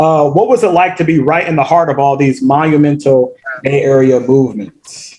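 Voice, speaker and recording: Keeping a very even loudness, a man with an unremarkable speaking voice talks at a moderate pace in a fairly high pitch with ordinary pitch variation. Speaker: interviewer. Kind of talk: podcast interview questions.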